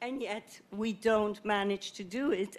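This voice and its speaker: With a non-native accent, a woman speaks at a medium pitch with ordinary pitch variation. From Netherlands. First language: not English. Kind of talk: panel discussion. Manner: halting, many fillers.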